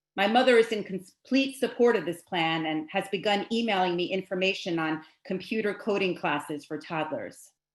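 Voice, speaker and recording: An unremarkable speaking voice, a woman at medium pitch, moderate pace, ordinary pitch variation and hardly any pauses. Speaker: spoken word artist. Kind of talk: spoken word performance. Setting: home video call.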